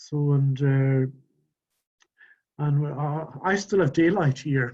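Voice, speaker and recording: This man's voice sits fairly high and sounds somewhat breathy. His tone is dark and mellow. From Scotland, Outer Hebrides. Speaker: webinar attendee, volunteer gardener. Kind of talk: casual chat. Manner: soft-spoken; halting, many repetitions.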